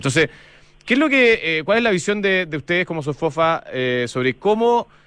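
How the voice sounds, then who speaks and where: In a Chilean accent, a man speaks at a fairly quick pace with very wide pitch swings. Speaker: radio host. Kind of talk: radio interview. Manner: halting.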